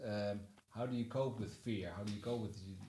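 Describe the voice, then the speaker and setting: Delivered at a moderate pace in a Dutch accent, the speech has monotone, flat intonation and audible room echo. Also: man. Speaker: podcast host. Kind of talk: interview.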